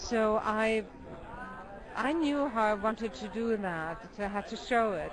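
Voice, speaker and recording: In a German accent, a woman with a fairly high pitch and ordinary pitch variation speaks at a fairly slow pace with long, frequent pauses, amid noticeable background noise and audible room echo. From Germany. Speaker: documentary filmmaker. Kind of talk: interview. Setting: film festival.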